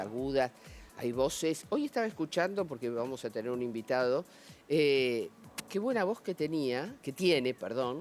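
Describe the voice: With music in the background, a man talks fairly slowly in a fairly high voice full of lively intonation.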